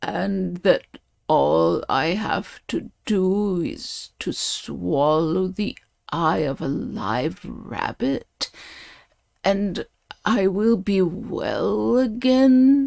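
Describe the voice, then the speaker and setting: A woman's put-on character voice at medium pitch and a very slow pace. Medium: read story. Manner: weak.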